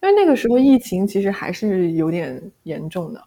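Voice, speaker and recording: A woman with a normal speaking voice, medium pitch, lively intonation, and a moderate pace. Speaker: former bank employee and graduate student. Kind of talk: casual interview.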